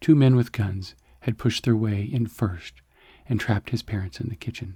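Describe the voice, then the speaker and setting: Soft-spoken and somewhat breathy, a man has a dark, mellow tone at medium pitch. He moves at a moderate pace with ordinary pitch variation. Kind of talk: science fiction story narration.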